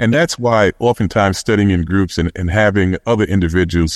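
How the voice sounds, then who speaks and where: Against a quiet background, a man with an American accent speaks at a fairly quick pace with ordinary pitch variation. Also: dry, close sound with no echo. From Brooklyn, New York (Brownsville). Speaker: physician and university administrator. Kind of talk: panel discussion.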